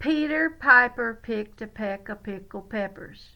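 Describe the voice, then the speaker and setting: With a Southern US accent, a woman speaks at a fairly high pitch. The recording is very clean, the background silent. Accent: Southern US twang. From Louisiana, USA. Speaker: retired teacher. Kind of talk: children's read-aloud story.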